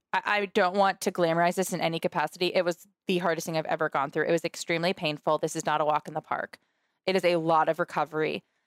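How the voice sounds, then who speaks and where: A woman talks at a very fast pace with a fairly low pitch. The recording is very clean with a silent background and a dry, close sound with no echo. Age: 20s. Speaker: cancer previvor and nonprofit founder. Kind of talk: interview. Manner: animated.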